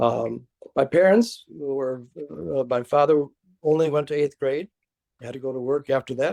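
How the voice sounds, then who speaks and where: A man with an American accent, fairly high pitch, a dark, mellow tone and ordinary pitch variation, at a fairly slow pace. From Chicago, near south side. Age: 80s+. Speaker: retired professor. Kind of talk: oral history interview. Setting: video call. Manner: halting, many fillers.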